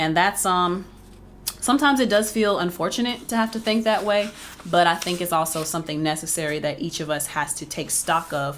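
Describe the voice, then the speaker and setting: At a moderate pace, a woman talks in an unremarkable speaking voice, fairly low in pitch with ordinary pitch variation. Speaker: book reviewer. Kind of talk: casual book review monologue.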